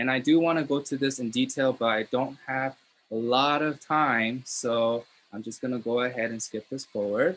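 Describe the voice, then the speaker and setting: In an American accent, a man with a medium pitch talks at a moderate pace in an ordinary speaking voice, his intonation fairly even. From Los Angeles, US. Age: 20s. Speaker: network marketing seminar host. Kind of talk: seminar presentation.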